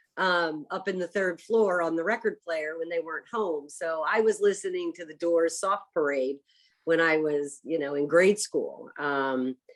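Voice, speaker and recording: This woman has a normal speaking voice with an American accent and a fairly low pitch. She talks at a fairly slow pace with ordinary pitch variation. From US Northeast, Philadelphia area. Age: 60s. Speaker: chef. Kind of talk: casual interview chat.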